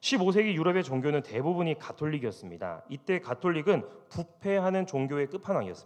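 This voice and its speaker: Speaking at a fairly quick pace, a man with a high voice moves through very wide pitch swings. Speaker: pastor. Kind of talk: sermon.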